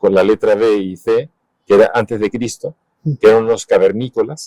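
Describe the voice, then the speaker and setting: The sound is dry and close with no echo. A man speaks at a fairly slow pace. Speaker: illustrator and cartoonist. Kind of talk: interview answer.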